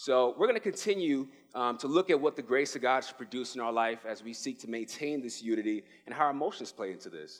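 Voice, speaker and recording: Very fast, animated speech with a New York accent, lively intonation and big swings in loudness. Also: man, medium pitch for a man. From New York City (the Bronx). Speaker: pastoral resident. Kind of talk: sermon.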